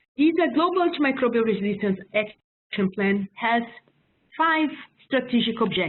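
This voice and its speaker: A woman with a fairly high-pitched voice talks with lively intonation. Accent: strong non-native. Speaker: public health officer. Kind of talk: webinar presentation. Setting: online webinar. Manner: halting, many fillers.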